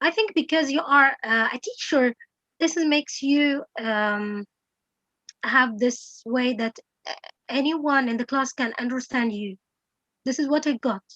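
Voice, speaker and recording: A woman with a non-native accent, high-pitched and bright, sharp in tone, at a fairly slow pace with long, frequent pauses, recorded dry and close with no echo. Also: ordinary pitch variation. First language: not English. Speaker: English teacher. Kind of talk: Q&A session. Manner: halting.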